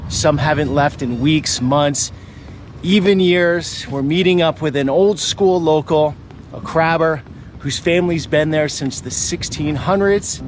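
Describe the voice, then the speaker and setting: Against noticeable background noise, a man speaks at a fairly slow pace in a fairly high voice with ordinary pitch variation. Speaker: travel video host. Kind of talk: documentary narration.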